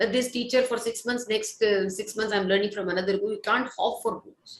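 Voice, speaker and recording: With an Indian accent, a woman speaks in lively intonation. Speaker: Carnatic classical vocalist. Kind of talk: interview Q&A. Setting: online live concert interaction.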